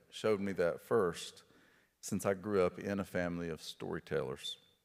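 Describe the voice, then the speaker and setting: In a very clean recording with a silent background, a man with an Appalachian accent speaks fairly slowly. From Appalachia, rural Kentucky. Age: 50s. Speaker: author and poet giving a lecture. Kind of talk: lecture.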